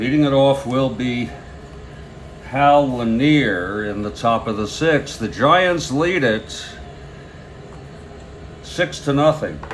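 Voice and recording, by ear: A man speaks at a slow pace with long, frequent pauses. His intonation is lively over faint background noise. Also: medium pitch for a man.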